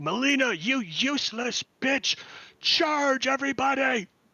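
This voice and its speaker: Shouting in a raspy, put-on character voice at an extremely high pitch, a man speaks at a fairly slow pace. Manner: booming, shouting.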